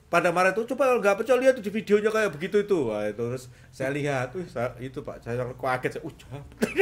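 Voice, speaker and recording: A man speaks in a strong Surabaya accent. His pitch swings very widely. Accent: strong Surabaya Javanese. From East Java, Indonesia (Nganjuk, raised in Surabaya). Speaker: police officer and national football team manager. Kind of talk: podcast interview. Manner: halting.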